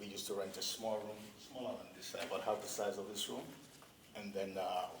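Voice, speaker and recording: Amid noticeable background noise and audible room echo, a man speaks at a fairly quick pace with a fairly low pitch and monotone, flat intonation. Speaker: pastor. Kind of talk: testimony. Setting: public meeting.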